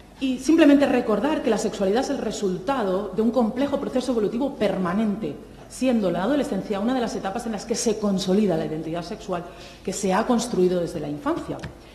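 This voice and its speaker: A woman talks at a very fast pace with lively intonation and a fairly high pitch. Audible room echo and noticeable background noise fill the recording. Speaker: clinical psychologist and university lecturer. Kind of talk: conference talk. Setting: seminar with live audience.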